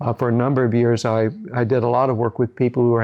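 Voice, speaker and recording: Against a quiet background, a man with a Midwestern American accent talks at medium pitch with fairly even intonation. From US Midwest, Decatur, Illinois. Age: 70s. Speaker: psychologist. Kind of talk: interview testimony. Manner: halting, many fillers and repetitions.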